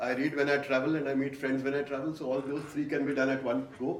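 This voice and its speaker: With audible room echo and noticeable background noise, a man speaks very fast in a fairly high voice. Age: 60s. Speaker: voice artist and author. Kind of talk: onstage interview. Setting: stage with audience. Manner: loud.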